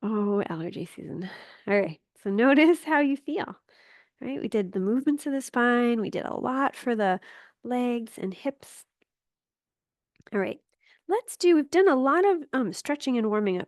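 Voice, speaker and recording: A calm, soothing tone with very wide pitch swings and long, frequent pauses, dry and close with no echo over a quiet background. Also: woman, high pitch for a woman, moderate pace. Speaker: yoga teacher. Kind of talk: yoga class instruction. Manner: calm, soothing pace.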